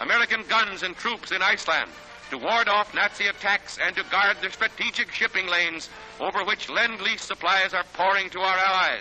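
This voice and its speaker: A man's high-pitched voice with fairly even intonation, over background music. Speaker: newsreel narrator. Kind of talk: newsreel narration.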